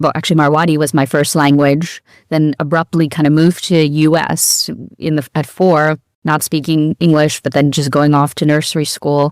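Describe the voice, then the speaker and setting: In a New York accent, a woman with a very deep, low pitch speaks at a moderate pace and very even loudness, in a dry, close sound with no echo. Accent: American (New York). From New York City, US. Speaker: law professor. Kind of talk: interview.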